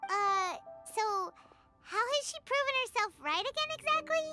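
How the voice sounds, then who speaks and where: A put-on character voice sounds squeaky at an extremely high pitch. It moves at a moderate pace with faint music in the background. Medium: video game.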